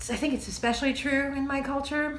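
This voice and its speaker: A woman speaks with audible room echo. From France. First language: French. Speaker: TV maker and video essayist. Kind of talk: video essay monologue. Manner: casual, with hesitations.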